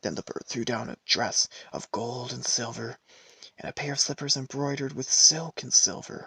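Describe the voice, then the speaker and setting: A soft-spoken man at a moderate pace, his sound dry and close with no echo. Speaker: ASMR storyteller. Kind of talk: fairy tale reading.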